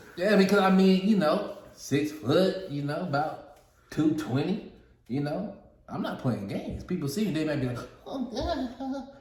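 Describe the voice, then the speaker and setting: A man with a high pitch talks in an animated tone at a fairly slow pace, his pitch swinging very widely amid audible room echo. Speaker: podcast co-host. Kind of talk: casual chat.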